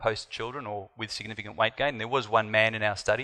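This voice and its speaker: A man's bright, sharp, medium-pitched voice with an Australian accent over a quiet background. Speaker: doctor. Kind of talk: conference talk.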